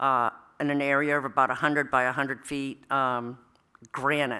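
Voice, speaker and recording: A loud woman's voice, very deep and low in pitch, bright and sharp in tone, at a fairly slow pace on a very clean recording with a silent background. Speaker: town chief assessor. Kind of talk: public meeting presentation. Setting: town hall meeting room. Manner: hesitant, many fillers.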